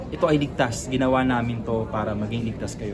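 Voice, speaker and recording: A man's medium-pitched voice at a fairly quick pace, with audible room echo and noticeable background noise. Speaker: tech company spokesperson. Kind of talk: interview. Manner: formal.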